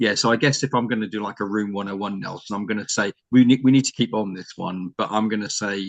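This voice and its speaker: Speaking very fast with a British accent, a man uses a fairly low voice in a dry, close sound with no echo. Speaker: learning and development strategist. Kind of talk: panel discussion.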